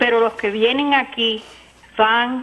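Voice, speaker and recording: The woman's voice sits fairly high in pitch. She speaks at a very slow pace with ordinary pitch variation. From United States. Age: 60s. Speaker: caller. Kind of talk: call-in comment.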